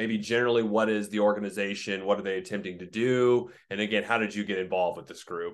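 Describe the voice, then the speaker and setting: A man's fairly low, very fast delivery with hardly any pauses, monotone, flat intonation and big swings in loudness. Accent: American. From Oklahoma. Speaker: podcast host. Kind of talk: interview.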